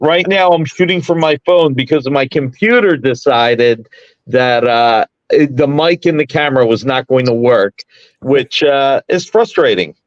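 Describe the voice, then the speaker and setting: This man's voice has a fairly high pitch and very even loudness. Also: ordinary pitch variation, fairly slow pace, dry, close sound with no echo. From South Philadelphia, US. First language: Italian. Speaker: comics publisher. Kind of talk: casual interview. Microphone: phone mic.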